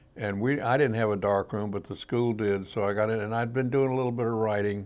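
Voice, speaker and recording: A man's medium-pitched voice in a Mississippi Gulf Coast accent, very fast and fairly even in intonation, against a quiet background. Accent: Southern US (Mississippi Gulf Coast). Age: 80s+. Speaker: outdoor writer and photographer. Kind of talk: interview. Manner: halting.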